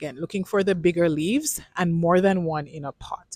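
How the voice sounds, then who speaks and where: This woman has a normal speaking voice with a fairly low pitch and ordinary pitch variation. She talks at a moderate pace, recorded with a dry, close sound and no echo. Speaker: plant vlogger. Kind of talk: casual vlog tutorial. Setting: plant nursery.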